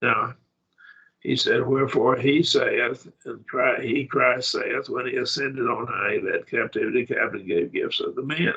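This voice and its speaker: Here a man talks with an Oklahoma accent. His pace is moderate. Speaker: Bible class teacher. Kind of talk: Bible study lecture.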